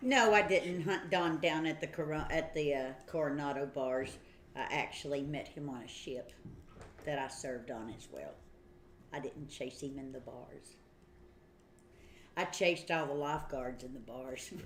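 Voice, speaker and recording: A woman with an Appalachian accent and a very deep, low pitch speaks with ordinary pitch variation, big swings in loudness and long, frequent pauses, over noticeable background noise and audible room echo. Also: moderate pace. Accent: Tennessee Appalachian. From Tennessee, Smoky Mountains. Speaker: Navy veteran, livestream co-host. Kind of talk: casual chat. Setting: livestream.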